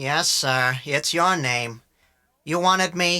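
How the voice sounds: In a put-on character voice, the speaker talks raspy and fairly slowly at a middle pitch.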